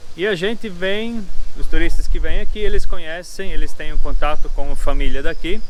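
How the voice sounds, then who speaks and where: A moderate pace over noticeable background noise. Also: man. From southern Brazil, Pomerode (Santa Catarina). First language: German (Pomeranian) (speaking Portuguese). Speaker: family farm host for tourists. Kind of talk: casual explanation to visitors.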